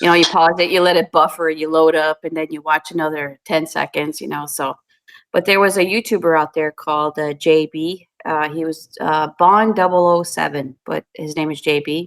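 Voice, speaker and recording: Recorded with a dry, close sound and no echo, a woman speaks in a very deep, low pitch with fairly even intonation. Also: moderate pace. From New Brunswick, Canada (French Canadian). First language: French. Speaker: YouTube cooking creator. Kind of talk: casual chat.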